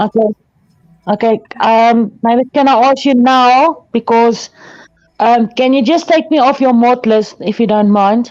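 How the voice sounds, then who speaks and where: The speech comes at a fairly slow pace with a South African accent. Loudness stays very even, and pitch varies in an ordinary way. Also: woman, fairly high pitch for a woman. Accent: Afrikaans-accented English. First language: Afrikaans. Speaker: chat participant, moderator. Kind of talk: casual chat.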